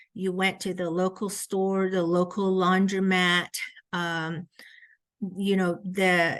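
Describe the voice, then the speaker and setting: A woman with a Southwestern US accent speaks at a very slow pace in a medium pitch, her intonation monotone and flat. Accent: Navajo-accented English. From Navajo Nation, Red Mesa area (US Southwest). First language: Navajo. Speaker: education researcher. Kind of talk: lecture. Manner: hesitant, frequent 'um' fillers.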